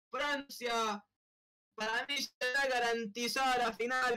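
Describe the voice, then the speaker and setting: A man's extremely high, raised and projected voice, very slow and monotone, with music in the background. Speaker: streamer and live commentator. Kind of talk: live sports commentary over a Roblox soccer match. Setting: online game stream. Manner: breathless, drawn-out goal calls with bursts of disbelief.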